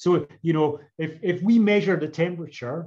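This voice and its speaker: Against a quiet background, a man with a Scottish accent speaks at a moderate pace and a fairly high pitch, with ordinary pitch variation. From Scotland, Edinburgh; Scotland. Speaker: professor. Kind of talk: lecture. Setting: video call. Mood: thoughtful, gently argumentative. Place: home room. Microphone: video call.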